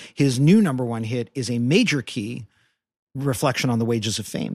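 An unremarkable speaking voice with ordinary pitch variation moves at a fairly quick pace in a very clean recording with a silent background. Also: man. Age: 40s. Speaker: pop music critic and chart analyst. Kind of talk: casual interview chat.

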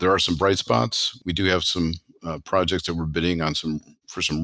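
This man talks at a fairly quick pace with a very deep, low pitch. His tone is bright and sharp. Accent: American. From Chicago, US Midwest. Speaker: airline pilot and franchise co-founder, military veteran. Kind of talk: interview.

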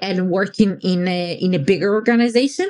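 A woman with an ordinary speaking voice, medium in pitch, talks at a fairly slow pace with ordinary pitch variation. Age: 40s. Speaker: podcast co-host. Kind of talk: casual conversation podcast.

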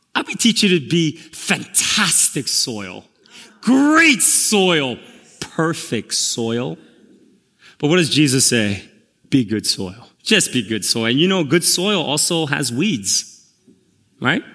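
With an American accent, a man talks very slowly at a fairly high pitch, his bright, sharp tone carrying vocal fry, very wide pitch swings, and long, frequent pauses. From Korea, then Queens, New York. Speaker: pastor. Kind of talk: sermon. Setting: church service with congregation.

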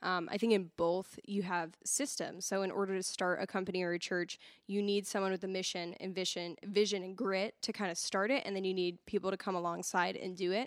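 A woman's ordinary speaking voice, medium in pitch and fairly even in intonation, at a fairly quick pace with hardly any pauses. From Massachusetts (Haverhill). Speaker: church assimilation director and content producer. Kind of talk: casual podcast interview.

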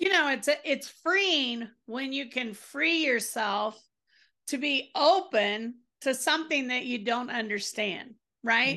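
A woman speaks at a high pitch in a raised, projected voice, bright and sharp in tone, with lively intonation. Her pace is very slow, and the background is quiet. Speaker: podcast host. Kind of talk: casual interview conversation.

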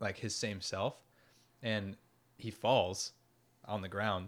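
An ordinary speaking voice from a man, fairly low in pitch, with fairly even intonation and a moderate pace, on a very clean recording against a silent background. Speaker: podcast host. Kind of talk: casual chat.

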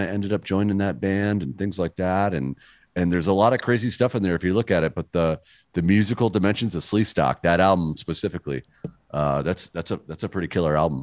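A man with an American accent talks at a fairly quick pace in a very deep, low pitch with ordinary pitch variation, in a dry, close sound with no echo. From western Massachusetts. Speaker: band musician. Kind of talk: casual interview. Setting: video call.

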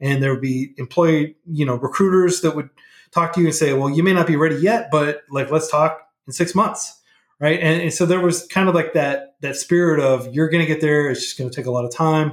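In a normal speaking voice with an American accent, a man talks fairly quickly at a fairly high pitch, his intonation fairly even. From Oklahoma and Texas, US. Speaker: nonprofit founder, coding educator. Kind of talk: casual interview.

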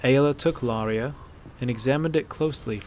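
Reading voice, unforced, its pitch moving a normal amount

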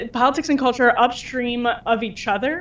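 A woman with a normal speaking voice talks at a moderate pace, her pitch fairly high with ordinary variation. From Wisconsin. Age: young. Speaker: culture editor. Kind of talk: interview.

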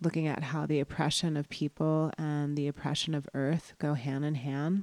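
A woman with an American accent speaks fairly slowly in a monotone, flat delivery, her pitch very deep and low and her tone dark and mellow. The very clean recording has a silent background and a dry, close sound with no echo. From US Northeast (New York, New Jersey, Connecticut). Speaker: professor. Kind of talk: interview; reading aloud.

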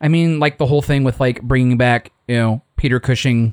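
A man with a normal speaking voice at medium pitch talks with ordinary pitch variation in a dry, close sound with no echo. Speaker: podcast host. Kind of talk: casual chat.

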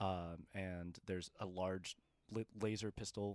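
The recording is very clean, and the background is silent. The speaker is a man. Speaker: podcast host and game master. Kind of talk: tabletop roleplay narration. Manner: switches into character voices.

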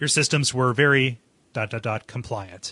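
Against a quiet background, a man puts on a character voice at a medium pitch and a fairly slow pace. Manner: spooky, freaky.

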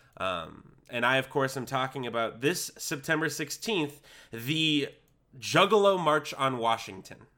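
Lively intonation and a bright, sharp tone come at a fairly slow pace in a very clean recording with a silent background. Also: man, fairly high pitch for a man. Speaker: podcast co-host. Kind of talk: casual banter. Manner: theatrical radio-style voice when introducing.

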